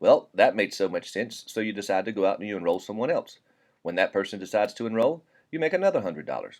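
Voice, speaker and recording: The speaker has a Southern US accent. The pace is very fast. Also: man. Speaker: network marketing presenter. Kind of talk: sales pitch. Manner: casual, conversational.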